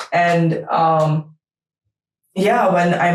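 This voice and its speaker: A woman with a Russian accent speaks at a fairly low pitch. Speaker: startup lawyer. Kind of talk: interview answers. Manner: hesitant, many fillers.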